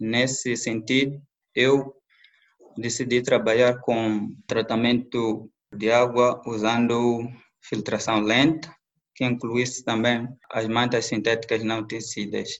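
A man speaks at a medium pitch with a monotone, flat intonation. His pace is very slow. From southern Mozambique, rural district. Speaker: environmental engineer. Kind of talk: interview. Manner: halting, repeats words.

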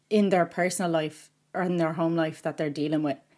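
Recorded very cleanly against a silent background, a woman with an Irish accent speaks at a fairly low pitch. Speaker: podcast host and book reviewer. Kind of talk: casual interview. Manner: nervous, excited.

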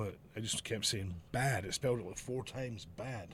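With a Glasgow accent, a man speaks at a moderate pace. His pitch is medium and his intonation fairly even. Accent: Scottish (Glasgow). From Scotland, Glasgow area. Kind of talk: casual chat.

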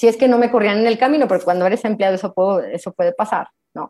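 Over music in the background, a woman talks at a very fast pace with a fairly high pitch and ordinary pitch variation. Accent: Mexican. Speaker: lawyer and business coach. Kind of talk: online talk. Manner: animated.

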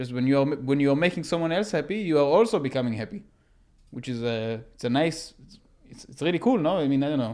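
Speaking very fast, a man keeps his intonation lively. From Israel. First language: Hebrew. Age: 20s. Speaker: podcast guest. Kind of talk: casual chat.

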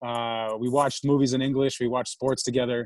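A man with a New York accent talks at a fairly quick pace on a very clean recording with a silent background. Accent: New York American. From New York City. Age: 30s. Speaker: startup founder. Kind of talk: interview.

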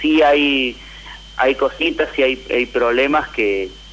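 Noticeable background noise sits behind the voice. A man speaks fairly slowly. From Tucumán, Argentina. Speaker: caller. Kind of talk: personal testimony.

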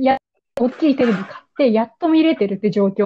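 A woman is speaking. Her intonation is lively. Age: 20s. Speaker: podcast host. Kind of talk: casual chat.

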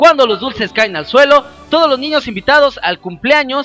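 A man's raised, projected voice in an animated tone, with music in the background. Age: 30s. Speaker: podcast host. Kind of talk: casual monologue.

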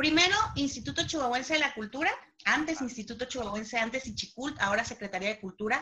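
Her voice is high, with lively intonation and a very fast pace. Noticeable background noise runs under this woman's speech. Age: 30s. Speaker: actress and playwright. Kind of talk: casual chat.

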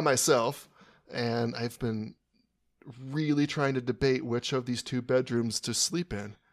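In a very clean recording with a silent background, a man with an American accent speaks fairly slowly at medium pitch, varying it in an ordinary way. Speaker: podcast co-host. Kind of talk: casual chat. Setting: hotel room. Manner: soft-spoken.

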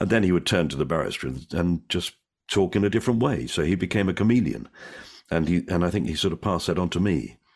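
A man with a very deep, low pitch and vocal fry talks at a very fast pace against a quiet background. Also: lively intonation. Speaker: comedian and actor. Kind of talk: casual interview chat. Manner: witty, joking.

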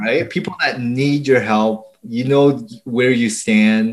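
A plain, everyday voice from a man with a Canadian accent, medium pitch, and moderate pace. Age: 40s. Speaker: SEO agency owner. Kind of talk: interview.

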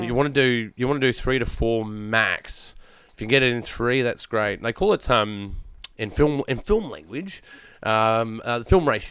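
A man talks very slowly. His voice holds a medium pitch. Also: ordinary pitch variation. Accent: rural Australian. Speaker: podcast host, filmmaker and voice actor.

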